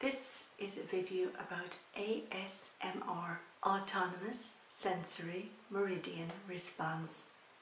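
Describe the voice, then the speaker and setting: A woman's ordinary pitch variation comes through over noticeable background noise. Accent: Irish. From Ireland. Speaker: YouTuber. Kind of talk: casual talk to camera.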